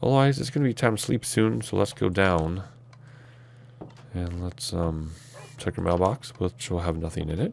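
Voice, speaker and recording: A man's very deep, low voice at a moderate pace, with long, frequent pauses. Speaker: gaming YouTuber. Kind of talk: Minecraft let's play commentary. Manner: casual, hesitant with fillers.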